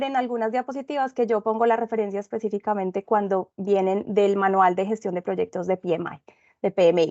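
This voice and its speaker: A woman at a fairly quick pace with a Medellín Colombian accent and ordinary pitch variation. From Colombia, Medellín. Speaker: consultant and instructor in project management. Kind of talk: webinar presentation.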